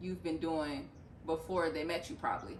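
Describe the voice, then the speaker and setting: A woman talks with a fairly low pitch. Audible room echo and noticeable background noise surround her voice. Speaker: vlogger. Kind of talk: casual chat. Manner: fast.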